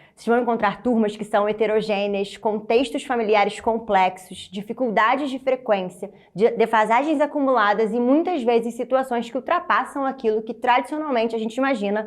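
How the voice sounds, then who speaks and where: A woman's fairly high voice with a Rio de Janeiro accent, ordinary pitch variation and hardly any pauses. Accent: carioca. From Rio de Janeiro, Brazil. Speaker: teacher trainer. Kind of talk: motivational presentation. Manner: warm, encouraging.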